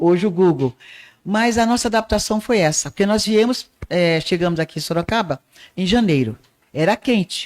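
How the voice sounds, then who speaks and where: Speaking at a moderate pace in a medium pitch with lively intonation and very even loudness, a woman is heard on a very clean recording with a silent background, the sound dry and close with no echo. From Northeast Brazil, Patos, Paraíba. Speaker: arts teacher and radio broadcaster. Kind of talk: podcast interview.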